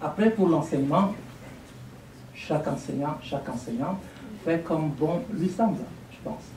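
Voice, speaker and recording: Speaking with an African accent, a man with fairly high pitch talks at a fairly slow pace with lively intonation and long, frequent pauses. Noticeable background noise and audible room echo are present. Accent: African francophone accent, unchanged. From Burkina Faso. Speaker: lecturer, language teacher. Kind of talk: lecture Q&A. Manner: articulate.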